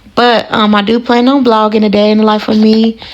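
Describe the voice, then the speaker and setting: Over noticeable background noise, a woman speaks with a fairly high pitch. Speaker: vlogger, mother. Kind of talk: casual vlog.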